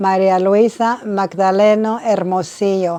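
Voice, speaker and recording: A woman speaks at medium pitch in a dark, mellow tone with fairly even intonation. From Mexico, raised in Detroit. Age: 80s+. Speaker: retired social worker. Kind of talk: oral history interview.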